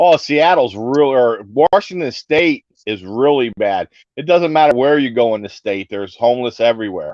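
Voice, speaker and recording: With a normal speaking voice, a man at a medium pitch talks at a moderate pace with lively intonation. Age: 60s. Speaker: caller on livestream. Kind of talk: casual chat.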